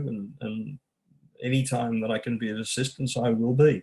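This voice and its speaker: Here a man speaks at a medium pitch. His pace is moderate and his intonation fairly even. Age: 60s. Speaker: podcast guest, liver disease survivor. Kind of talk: casual interview chat. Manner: halting, many repetitions.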